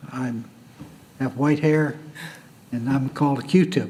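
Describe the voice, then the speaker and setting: Noticeable background noise sits behind a man whose fairly high voice keeps a fairly even intonation. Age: 80s+. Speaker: city council applicant. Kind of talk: public hearing statement.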